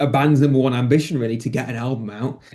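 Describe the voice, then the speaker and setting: Against a quiet background, a man speaks with a mild English accent. His tone is dark and mellow, and his intonation is fairly even. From England, near Birmingham. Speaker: rock guitarist. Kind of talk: interview. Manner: halting.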